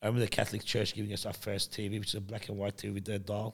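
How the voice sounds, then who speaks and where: A man speaks with an Australian accent at a fairly low pitch. His intonation is fairly even, and the recording is very clean with a silent background. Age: 40s. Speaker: entrepreneur. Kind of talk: casual chat.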